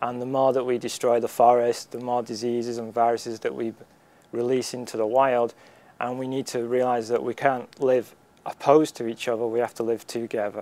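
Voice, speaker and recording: A man with a Lancashire accent speaks at a fairly quick pace and a medium pitch. His tone is dark and mellow, and his intonation is monotone and flat. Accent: northern English, Lancashire. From Wigan, northwest England. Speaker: community college student. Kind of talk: interview answer.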